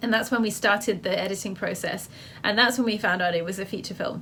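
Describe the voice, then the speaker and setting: Fairly flat intonation marks this speech, delivered with a British accent. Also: woman. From England. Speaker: filmmaker and photographer. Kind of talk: interview.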